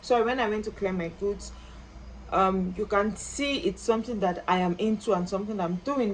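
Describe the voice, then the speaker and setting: A woman at medium pitch, with ordinary pitch variation, a moderate pace and light background noise. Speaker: small business owner and vlogger; vlogger giving shopping advice. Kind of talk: tutorial. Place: home room. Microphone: phone near.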